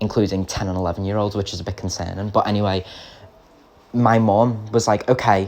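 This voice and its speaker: A man speaks at a fairly low pitch. His intonation is monotone and flat. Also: fairly quick pace. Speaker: YouTuber. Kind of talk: storytime narration. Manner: halting, many fillers; hard to understand.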